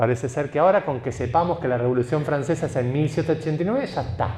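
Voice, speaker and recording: A man speaks very fast in a dark, mellow, somewhat breathy tone with ordinary pitch variation. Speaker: writer. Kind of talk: talk. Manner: animated.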